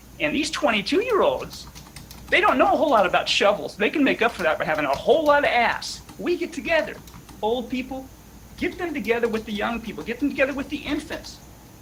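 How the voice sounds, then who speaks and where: An animated tone at a very fast pace over noticeable background noise. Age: 60s. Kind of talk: casual chat.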